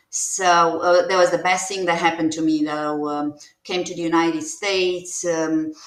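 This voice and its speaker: A woman with a Romanian accent speaks at a fairly low pitch. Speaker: nurse practitioner and former diplomat. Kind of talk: interview testimony. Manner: halting, many fillers.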